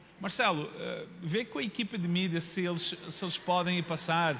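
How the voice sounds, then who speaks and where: A man with a high pitch talks as audible room echo rings around him. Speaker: pastor. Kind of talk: sermon. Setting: church. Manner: animated.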